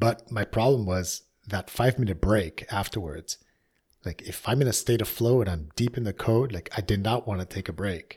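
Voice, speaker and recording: On a very clean recording with a silent background, a man speaks at a fairly low pitch, somewhat breathy, with ordinary pitch variation. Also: moderate pace. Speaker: podcast host. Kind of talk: casual chat. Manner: laughs often.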